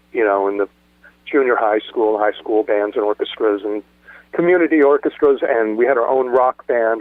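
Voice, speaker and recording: Speaking with an American accent, a man moves at a fairly quick pace. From Southern California (Los Angeles area). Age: 60s. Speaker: punk rock drummer. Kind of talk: interview storytelling. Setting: podcast interview. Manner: halting, many fillers and restarts.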